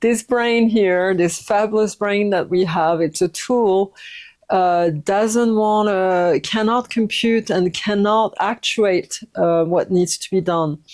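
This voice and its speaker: With a French accent, a woman speaks with ordinary pitch variation. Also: medium pitch for a woman. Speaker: yoga teacher and recovery coach. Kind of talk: personal testimony. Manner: halting, many fillers.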